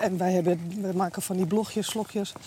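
A woman talking at a fairly quick pace amid noticeable background noise. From Amsterdam, Netherlands. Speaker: IT worker and police volunteer. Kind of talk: casual chat. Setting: outdoors, walking.

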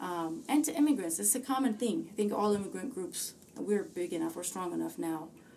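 Noticeable noise runs through the background. A woman speaks at a fairly quick clip. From Ethiopia. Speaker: musician. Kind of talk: casual chat.

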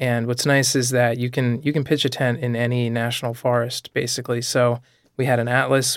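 Over a very clean recording with a silent background, a man speaks at medium pitch and a moderate pace. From New England, Rhode Island. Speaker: road trip enthusiast. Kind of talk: casual interview. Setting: studio. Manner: hesitant, many fillers.

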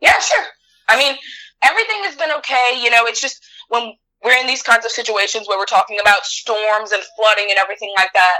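A woman with a Southern Louisiana accent talks at a fairly quick pace in a fairly high pitch, with ordinary pitch variation and a bright, sharp tone. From Louisiana, LaPlace. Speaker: grocery store worker. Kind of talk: casual chat.

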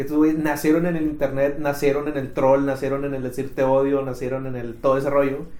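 At a fairly quick pace, a man speaks in a fairly high voice, with audible room echo and noticeable background noise. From Mexico, Monterrey. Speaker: podcast co-host. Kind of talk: casual chat.

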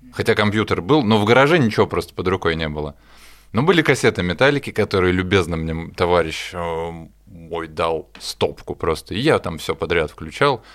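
A man's very deep, low voice comes through in a very clean recording with a silent background. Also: lively intonation, moderate pace. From Russia, Smolensk. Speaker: session drummer. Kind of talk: casual chat. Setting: studio.

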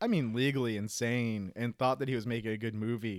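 With an American accent and an ordinary speaking voice, a man talks at a fairly quick pace and medium pitch in a very clean recording with a silent background and a dry, close sound with no echo. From Jacksonville, Florida. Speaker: podcast co-host. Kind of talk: casual chat.

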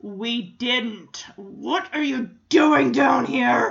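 A put-on character voice at a fairly high pitch speaks at a very slow pace. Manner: menacing, growly.

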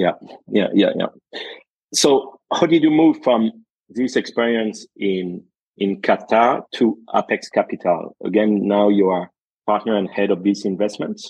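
The voice has a dark, mellow tone and moves at a moderate pace, with a dry, close sound and no echo. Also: man. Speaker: podcast host. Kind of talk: interview conversation.

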